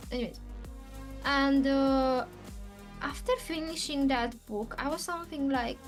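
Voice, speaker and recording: Here a woman's high voice moves at a very slow pace with fairly even intonation. Music sits in the background. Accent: non-native. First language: not English. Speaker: spiritual channeler. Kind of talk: casual talk to camera. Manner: hesitant, with pauses.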